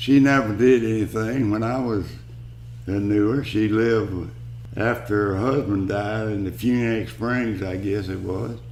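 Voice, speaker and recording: A Southern US accent at a fairly slow pace, with fairly even intonation and audible room echo. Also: man, fairly low pitch for a man. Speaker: elderly family member. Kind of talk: family oral history interview.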